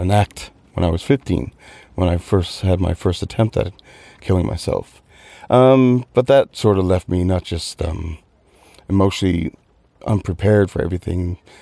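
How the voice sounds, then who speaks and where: In a very clean recording with a silent background and a dry, close sound with no echo, a man with a Newfoundland accent speaks at a moderate pace with a very deep, low pitch and a dark, mellow tone. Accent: Newfoundland Canadian, noticeable. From Newfoundland, Canada. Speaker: mental health ambassador. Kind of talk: radio interview. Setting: studio.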